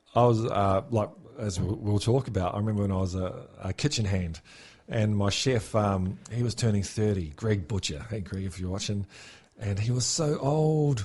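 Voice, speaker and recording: A man speaks at a moderate pace with a fairly low pitch and ordinary pitch variation. His voice is somewhat breathy against a quiet background. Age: 40s. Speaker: podcast host. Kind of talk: casual chat.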